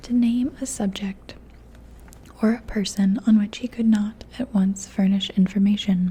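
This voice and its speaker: This voice is soft-spoken. It moves at a fairly slow pace. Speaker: ASMR audiobook reader. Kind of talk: ASMR story reading.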